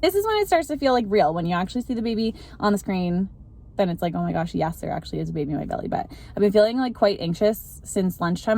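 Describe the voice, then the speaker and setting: Talking very fast, a woman is heard over noticeable background noise. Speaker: vlogger. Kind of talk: video diary. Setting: in a car. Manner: casual, filler-heavy; whispering.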